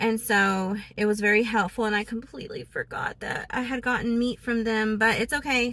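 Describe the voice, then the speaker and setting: Bright and sharp in tone, a woman with a fairly high voice talks at a moderate pace with hardly any pauses. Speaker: vlogger. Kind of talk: casual vlog talk. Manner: hesitant, many fillers.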